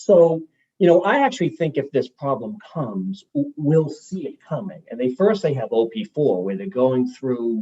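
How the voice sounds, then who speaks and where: In a dry, close recording with no echo, a man with an American accent talks at a moderate pace in a dark, mellow, somewhat breathy tone, his pitch swinging very widely. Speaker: utility executive. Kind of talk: testimony at a legislative forum.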